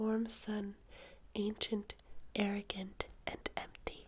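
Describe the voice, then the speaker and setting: Soft-spoken delivery unfolds at a very slow pace. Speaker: ASMR reader. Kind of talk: sleep story reading.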